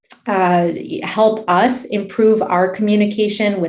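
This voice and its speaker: In a room with audible echo, a woman speaks at medium pitch with an American accent. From Miami, US. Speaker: emergency physician and medical Spanish educator. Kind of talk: webinar presentation Q&A. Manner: many fillers, repetitions.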